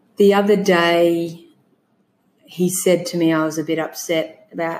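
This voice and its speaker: With an Australian accent, a woman speaks at a fairly slow pace in a fairly low pitch, her intonation monotone and flat. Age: 40s. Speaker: bereaved mother sharing her miscarriage story. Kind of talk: testimony.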